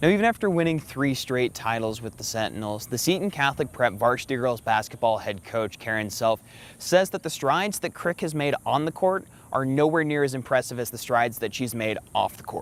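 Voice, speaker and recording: In an ordinary speaking voice, a man of medium pitch talks at a fairly quick pace with lively intonation. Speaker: student broadcast reporter. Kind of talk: TV news package narration.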